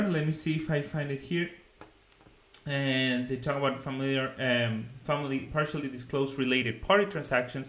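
A man talks at a moderate pace in a fairly high pitch. He speaks with a Spanish accent. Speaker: finance YouTuber. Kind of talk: video commentary on a research report. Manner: casual, hesitant with many fillers.

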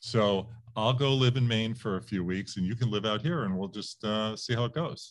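At a moderate pace, the man has an ordinary speaking voice of medium pitch and ordinary pitch variation. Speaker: interviewer and podcast host. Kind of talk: interview.

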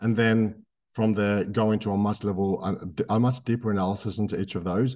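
Recorded very cleanly against a silent background, a man with an Australian accent speaks at a fairly low pitch in a dark, mellow tone. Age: 30s. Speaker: microcap investor and property landlord. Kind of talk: interview.

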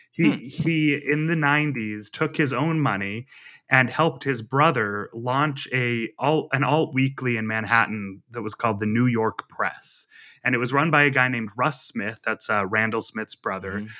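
A man speaks at a moderate pace with medium pitch and ordinary pitch variation, in an unremarkable speaking voice. The background is quiet. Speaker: magazine journalist author. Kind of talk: interview conversation.

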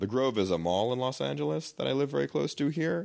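A man with an American accent at a very fast pace, his pitch swinging very widely, in a very clean recording with a silent background. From New York City, Queens. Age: 30s. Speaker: film director. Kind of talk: casual chat.

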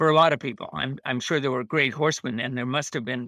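A man speaks at a fairly high pitch in a bright, sharp tone. The sound is dry and close with no echo, on a very clean recording with a silent background. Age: 80s+. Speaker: horse rider and trainer. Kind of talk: interview conversation. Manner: halting.

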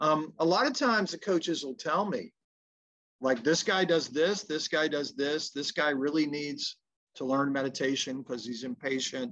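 With a Tennessee accent, a man speaks at a moderate pace in a fairly high pitch with lively intonation. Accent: Southern US (Tennessee). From US South, Memphis. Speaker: mental performance coach. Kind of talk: casual interview.

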